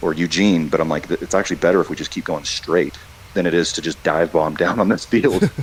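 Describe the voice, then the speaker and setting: A man talks very fast in a very deep, low pitch with ordinary pitch variation. Background noise is noticeable. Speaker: airline pilot. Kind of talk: interview.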